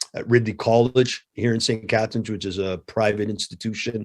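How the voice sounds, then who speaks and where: A man's fairly low voice with a Canadian accent at a fairly quick pace, dry and close with no echo. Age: 50s. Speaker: martial arts coach and anti-bullying instructor. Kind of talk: interview. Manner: animated storytelling.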